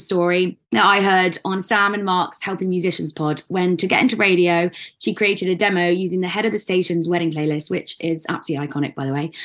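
A woman with an ordinary speaking voice talks at a fairly quick pace, her medium pitch showing ordinary pitch variation. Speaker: podcast host. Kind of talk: casual interview chat.

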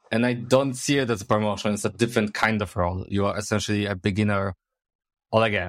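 A man's fairly low voice with a Polish accent, very fast pace, and fairly even intonation, on a very clean recording with a silent background. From Poland, Poznań. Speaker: software engineer. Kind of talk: casual chat.

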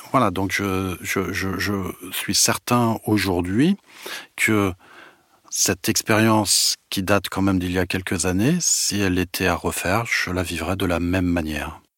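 Recorded dry and close with no echo, a man with a very deep, low pitch speaks at a fairly slow pace with fairly even intonation. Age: 50s. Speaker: manager. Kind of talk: testimony. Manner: halting.

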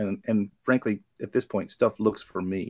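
A man speaks with an ordinary speaking voice at a fairly low pitch and fairly even intonation. The sound is dry and close, with no echo. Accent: American. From US South, Florida Panhandle. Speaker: bartender. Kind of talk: casual chat.

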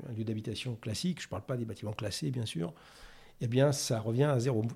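A man's voice comes across somewhat breathy with a dark, mellow tone. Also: very clean recording, silent background. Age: 50s. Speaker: sustainability executive in construction. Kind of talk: interview. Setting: studio.

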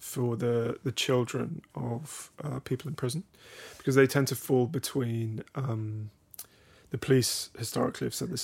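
A man speaks with vocal fry. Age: 30s. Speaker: philosophy teacher in prisons and author. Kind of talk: casual chat.

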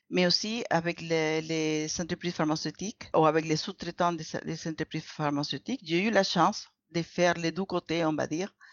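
A woman with a Spanish accent speaks at a moderate pace in a fairly low pitch. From Venezuela. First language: Spanish (speaking French). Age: 50s. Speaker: former dentist, clinical research associate. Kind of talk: interview. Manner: halting, with many repetitions.

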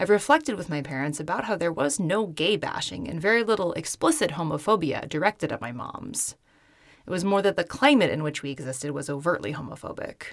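A woman with a fairly low pitch talks at a very fast pace with very wide pitch swings, on a very clean recording with a silent background. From US Pacific Northwest, Seattle area. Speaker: podcast host. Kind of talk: scripted narration. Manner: formal.

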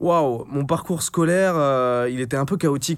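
With a normal speaking voice, a man speaks at a moderate pace with ordinary pitch variation in a very clean recording with a silent background. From France, Brittany (Finistère, Brest). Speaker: entrepreneur and content creator. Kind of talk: casual interview chat.

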